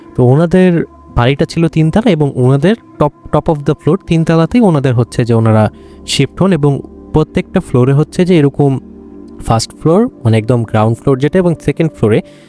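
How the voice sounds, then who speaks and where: With music in the background, a man speaks at a fairly high pitch with lively intonation and very even loudness, the sound dry and close with no echo. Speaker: horror story podcast host. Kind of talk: conversational horror story narration. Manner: casual, hesitant with fillers.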